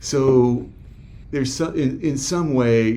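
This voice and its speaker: Audible room echo surrounds a man's voice. He speaks at a very slow pace with ordinary pitch variation. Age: 60s. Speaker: men's group facilitator. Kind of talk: interview. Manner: halting.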